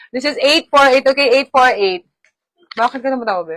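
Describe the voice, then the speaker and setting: A woman talks in an animated tone at a high pitch. The sound is dry and close, with no echo. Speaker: online live seller. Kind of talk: live selling.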